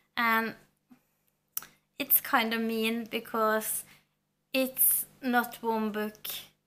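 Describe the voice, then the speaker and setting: Very slow and broken by long, frequent pauses, a woman's fairly high voice has a bright, sharp tone and monotone, flat intonation. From Norway. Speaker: book vlogger. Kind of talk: casual book review vlog. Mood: warm, enthusiastic. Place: home room.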